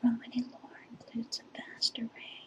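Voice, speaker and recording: Over noticeable background noise, a soft-spoken woman is whispering. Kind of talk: ASMR whisper reading. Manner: whispered, soft, slow.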